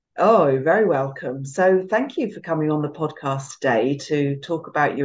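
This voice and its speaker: With a British accent, a woman speaks at a very deep, low pitch. Her pace is moderate and her pitch varies in an ordinary way. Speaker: podcast host. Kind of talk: interview, warm conversational chat. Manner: warm, gentle.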